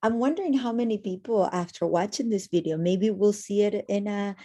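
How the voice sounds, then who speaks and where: A woman talks at a moderate pace with a Spanish accent, her tone dark and mellow. Her intonation stays fairly even over a quiet background. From Argentina. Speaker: educator. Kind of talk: casual chat.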